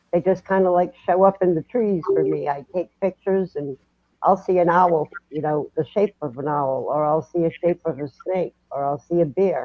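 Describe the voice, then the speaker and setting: The speaker talks at a moderate pace with a Massachusetts accent. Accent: Massachusetts, still noticeable. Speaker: paranormal podcast guest. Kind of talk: casual chat.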